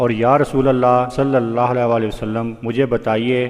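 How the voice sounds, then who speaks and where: Noticeable background noise sits under a man's medium-pitched voice with fairly even intonation. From Pakistan. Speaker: voice over artist. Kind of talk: religious story narration.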